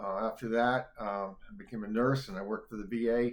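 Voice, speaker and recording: A man with an American accent speaks at medium pitch and a fairly quick pace. His intonation is monotone and flat. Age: 70s. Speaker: poet. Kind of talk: poetry reading; casual introduction. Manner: halting, many fillers.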